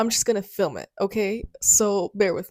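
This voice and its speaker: Heard dry and close with no echo, a woman speaks at a medium pitch. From Russia. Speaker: social media content creator. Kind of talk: personal storytime vlog. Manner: casual, conversational.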